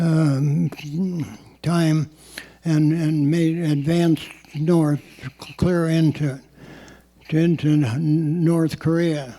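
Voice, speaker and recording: The speech moves very slowly with long, frequent pauses, staying very even in loudness and flat, monotone in intonation. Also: man. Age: 80s+. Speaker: Korean War veteran. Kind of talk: oral history talk.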